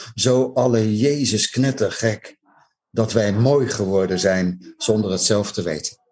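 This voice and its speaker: At a very slow pace, a man speaks in a fairly low voice with ordinary pitch variation. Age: old. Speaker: jazz enthusiast, TV maker. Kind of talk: casual interview. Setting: video call.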